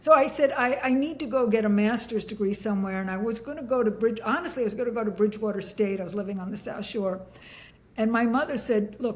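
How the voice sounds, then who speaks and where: Her voice is somewhat breathy and fairly high in pitch. The woman speaks at a very fast pace with ordinary pitch variation. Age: 70s. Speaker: leadership and workforce consultant. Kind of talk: interview conversation.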